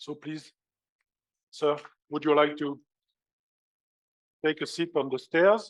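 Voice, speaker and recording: Speaking at a fairly slow pace with long, frequent pauses, a man with a French accent keeps his fairly high voice in fairly even intonation. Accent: French accent, self-described as horrible. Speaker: conference chair. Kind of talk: conference opening speech. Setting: stage with audience. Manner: formal.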